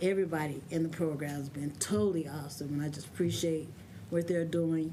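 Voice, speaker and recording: In a room with audible echo, the speaker goes at a fairly quick pace in a dark, mellow tone with fairly even intonation. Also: woman, very deep, low pitch for a woman. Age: 60s. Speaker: adult learner giving testimony. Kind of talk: testimony.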